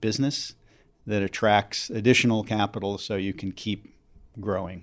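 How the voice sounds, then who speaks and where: At a moderate pace, a man with a normal speaking voice talks at a fairly low pitch with fairly even intonation, in a very clean recording with a silent background. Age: 50s. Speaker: clean energy investor. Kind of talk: interview.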